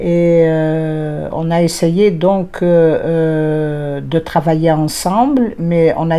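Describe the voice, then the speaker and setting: Noticeable background noise behind a woman's fairly low voice. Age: 60s. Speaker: lawyer and law lecturer. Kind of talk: interview. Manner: hesitant, many fillers.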